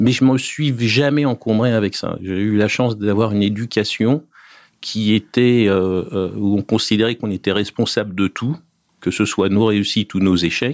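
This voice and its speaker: Over a quiet background, a man speaks at a moderate pace in a fairly low pitch with ordinary pitch variation, the sound dry and close with no echo. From France, Paris region (Essonne). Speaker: property developer executive. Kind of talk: interview. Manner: hesitant, many fillers.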